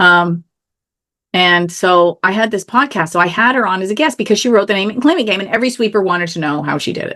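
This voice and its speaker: Against a quiet background, a woman speaks loudly at a fairly quick pace with a bright, sharp, animated tone, medium pitch and ordinary pitch variation. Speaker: author and contest expert. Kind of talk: interview. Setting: video call from home office.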